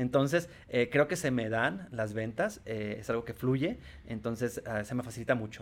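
Here is a man with an ordinary speaking voice at a medium pitch. He keeps a moderate pace with ordinary pitch variation. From Tijuana, Mexico. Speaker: sales executive. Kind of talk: interview.

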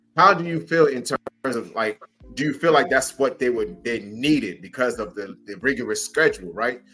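With music playing in the background, a man talks at a moderate pace in an energetic tone with lively intonation. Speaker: professional wrestler and co-host. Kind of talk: booming ring-announcer style guest introduction. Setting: video call. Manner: theatrical, building crescendo.

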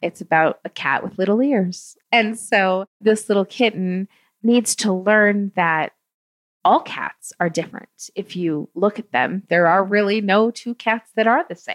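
In a dry, close sound with no echo and a silent background on a very clean recording, a woman speaks at medium pitch and a fairly slow pace with ordinary pitch variation. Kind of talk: casual interview. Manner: animated.

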